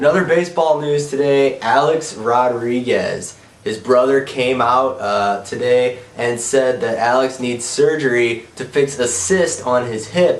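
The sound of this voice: A man's nasal, medium-pitched voice with ordinary pitch variation and audible room echo. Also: fairly slow pace.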